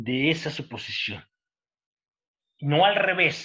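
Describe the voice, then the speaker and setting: Here a man speaks at a very slow pace. His tone is bright and sharp, with ordinary pitch variation. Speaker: university professor. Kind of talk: lecture.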